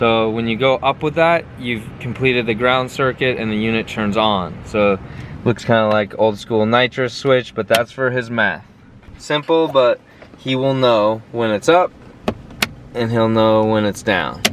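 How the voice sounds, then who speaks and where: Noticeable background noise runs under the clip. A man speaks at a fairly slow pace. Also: medium pitch for a man. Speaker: car tuner and vlogger. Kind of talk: shop vlog walkthrough. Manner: monotone.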